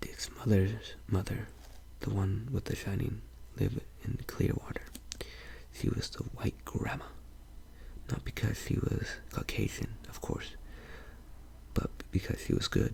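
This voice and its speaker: Someone whispers at a fairly slow pace, with long, frequent pauses and noticeable background noise. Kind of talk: narration reading a novel aloud. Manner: soft-spoken.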